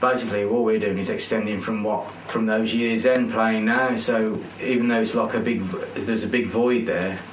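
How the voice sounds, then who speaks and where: With noticeable background noise behind him, a man speaks at a moderate pace in a medium pitch with monotone, flat intonation. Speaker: band vocalist and bassist. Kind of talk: casual interview chat. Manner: relaxed, chatty, jokey.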